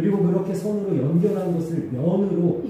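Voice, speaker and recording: A man talks loudly at a moderate pace and a high pitch, with audible room echo and noticeable background noise. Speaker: pastor. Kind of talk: sermon.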